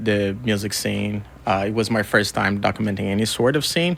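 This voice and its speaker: The speaker has a Portuguese accent and ordinary pitch variation. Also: man. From Brazil. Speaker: record label co-founder and music photographer. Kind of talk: radio interview. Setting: radio studio.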